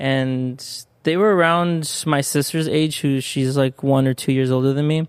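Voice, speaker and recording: A man with a Spanish accent speaks at a moderate pace and a fairly high pitch. His intonation is fairly even and his loudness very even. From Southern California, US. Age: 20s. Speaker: youth ministry co-director. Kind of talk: casual interview, storytelling. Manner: casual, filler-heavy, uses 'like'.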